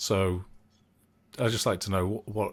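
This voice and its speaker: Somewhat breathy, a man talks at a moderate pace with fairly even intonation. The recording is very clean with a silent background. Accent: English. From northern England, south of Manchester. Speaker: podcast host. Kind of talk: podcast interview.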